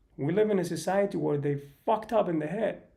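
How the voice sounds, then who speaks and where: This man's voice is high-pitched yet dark and mellow in tone. He talks at a moderate pace. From Sweden. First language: not English (English is third language). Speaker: live streamer. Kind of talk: casual livestream monologue. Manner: halting.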